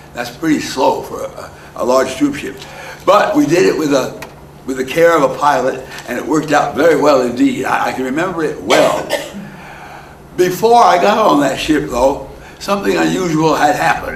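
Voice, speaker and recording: Long, frequent pauses break up this man's speech, which carries audible room echo over noticeable background noise. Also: moderate pace. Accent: American. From New Jersey. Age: 90s. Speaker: elderly storyteller. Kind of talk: oral history storytelling. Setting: heritage center talk to audience. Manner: halting, repeats words.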